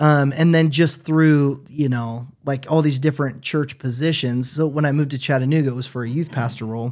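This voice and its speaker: In a very clean recording with a silent background, a man with an American accent and an unremarkable speaking voice talks at a fairly quick pace with hardly any pauses, fairly even intonation and fairly high pitch. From US Pacific Northwest, Washington State. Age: 30s. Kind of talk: casual chat. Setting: studio.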